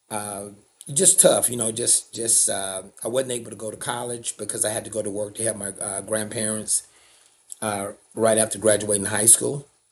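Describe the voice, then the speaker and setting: In a Southern accent, a man with a fairly low pitch speaks in a flat monotone. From US South, Alabama. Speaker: nonprofit CEO, former tradesman. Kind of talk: interview, personal story. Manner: casual, with many fillers.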